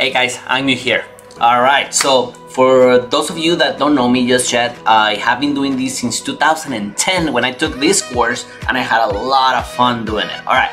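Clear music plays in the background. The speaker talks with a non-native accent. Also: man, medium pitch for a man, moderate pace. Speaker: online course tutor. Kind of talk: screen-recorded course lecture. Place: home room.

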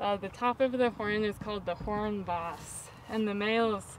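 At a moderate pace, a woman speaks in a dry sound with no echo over light background noise. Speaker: farm tour guide. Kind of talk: tour guide explanation. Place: farm machine. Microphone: camera far.

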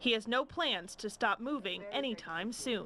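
A woman uses a normal speaking voice at a fairly high pitch with ordinary pitch variation. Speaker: TV news reporter. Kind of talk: TV news report.

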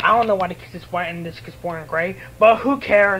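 With faint music in the background, a man talks at a fairly quick pace in a high-pitched, bright, sharp tone with ordinary pitch variation.

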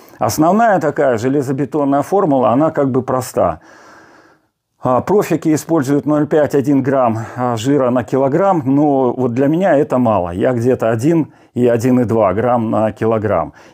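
A man with a dark, mellow tone, very even loudness, ordinary pitch variation and a moderate pace, in a quiet background. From Siberia, Russia. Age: 60s. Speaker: fitness blogger. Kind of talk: casual vlog talk. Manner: halting, with fillers. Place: home room. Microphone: lapel.

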